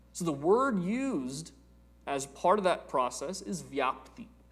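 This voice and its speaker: In a room with audible echo, a man speaks slowly-ish and high in pitch, his pitch swinging very widely at a fairly slow pace. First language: Telugu. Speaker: spiritual teacher. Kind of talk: lecture.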